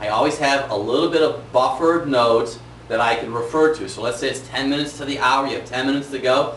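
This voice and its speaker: A man at a medium pitch, energetic in tone and very fast in pace, with audible room echo and noticeable background noise. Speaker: chiropractor giving business training. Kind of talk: tutorial. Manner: varies pace and volume, energetic.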